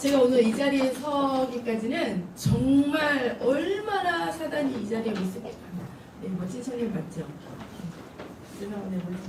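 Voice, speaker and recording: A woman's high-pitched voice with a Seoul accent, very wide pitch swings, big swings in loudness and a fairly slow pace, amid noticeable background noise and audible room echo. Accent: Seoul speech. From Seoul, South Korea. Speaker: preacher, ministry leader. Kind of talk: sermon.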